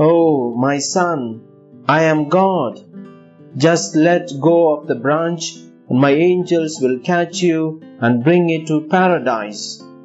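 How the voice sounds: Against clear music in the background, a man uses a loud, booming put-on character voice at a fairly high pitch. His pace is fairly slow, with long, frequent pauses.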